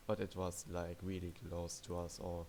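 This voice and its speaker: Fairly slow speech from a man. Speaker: video game player and commentator. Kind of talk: gameplay commentary. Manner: casual, hesitant.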